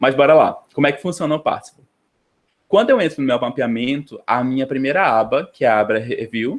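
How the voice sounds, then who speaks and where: A man talks at a fairly quick pace in a fairly high pitch with ordinary pitch variation. The background is quiet. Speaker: graduate student presenting a class. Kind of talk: online lecture tutorial. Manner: fast; hesitant, many fillers.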